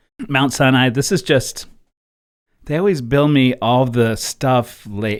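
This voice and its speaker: A man's medium-pitched voice at a fairly slow pace, on a very clean recording with a silent background. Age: 50s. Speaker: musician and personal finance vlogger. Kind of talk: casual budgeting vlog. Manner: halting, many fillers.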